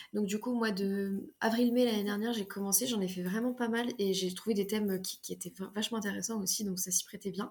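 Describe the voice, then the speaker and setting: A woman speaks at a fairly quick pace with hardly any pauses, her medium-pitched voice somewhat breathy. Her intonation stays fairly even. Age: 20s. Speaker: fantasy author. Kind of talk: casual interview. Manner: hesitant, many fillers.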